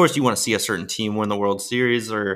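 A man talks at a fairly quick pace in an unremarkable speaking voice. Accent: American. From Maryland, US. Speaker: professional baseball player and NFT creator. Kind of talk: podcast interview. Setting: remote guest line.

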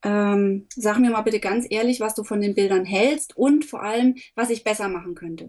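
In an unremarkable speaking voice, a woman talks at a moderate pace, fairly high in pitch and fairly even in intonation. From Upper Franconia, Germany. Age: 30s. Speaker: photographer. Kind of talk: interview.

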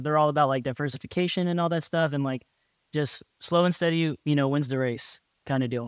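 This man has an unremarkable speaking voice with a fairly high pitch and fairly even intonation, heard dry and close with no echo in a very clean recording over a silent background. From US, small farm town. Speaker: air force officer. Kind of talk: casual interview.

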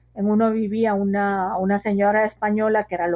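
A woman talks at a moderate pace. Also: quiet background. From Guatemala City, Guatemala. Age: 40s. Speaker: sociologist and writer. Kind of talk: interview.

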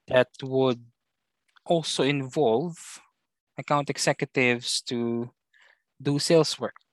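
Against a quiet background, a man speaks at a very slow pace with fairly even intonation and long, frequent pauses, the sound dry and close with no echo. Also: medium pitch for a man. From Philippines. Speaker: account executive. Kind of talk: casual interview chat, Taglish.

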